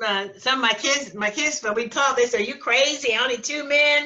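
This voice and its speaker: A woman projects a raised voice in a high pitch. Her pace is moderate. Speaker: ordained minister, teacher and preacher. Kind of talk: interview answer. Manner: casual, conversational.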